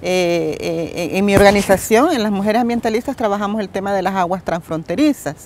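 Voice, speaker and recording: Over light background noise, a woman talks at a fairly quick pace with hardly any pauses and ordinary pitch variation, the sound dry with no echo. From El Salvador. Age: 60s. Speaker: environmental activist; interviewee. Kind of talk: interview testimony. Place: garden.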